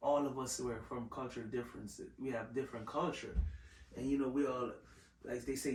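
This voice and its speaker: The voice keeps a fairly even intonation, heard with audible room echo and noticeable background noise. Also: man. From Jamaica. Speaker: podcast host. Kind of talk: casual chat.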